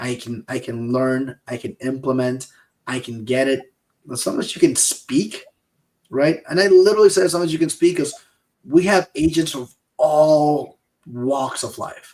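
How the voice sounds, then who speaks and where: Speaking at a moderate pace, a man with a Peruvian accent has a fairly high pitch and ordinary pitch variation. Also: big swings in loudness. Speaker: insurance sales podcast co-host. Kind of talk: casual chat.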